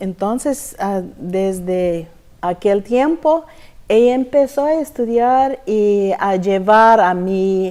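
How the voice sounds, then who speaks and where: A woman with an English accent speaks very slowly in a dark, mellow tone at medium pitch, her intonation lively. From Texas. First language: English (speaking Spanish). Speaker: church member giving testimony. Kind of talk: testimony interview. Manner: halting, searching for words.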